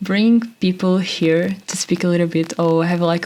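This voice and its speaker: A woman's fairly low voice with a Portuguese accent, monotone and flat in intonation, at a moderate pace over noticeable background noise. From Portugal. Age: 20s. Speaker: podcast host. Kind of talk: casual monologue. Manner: halting.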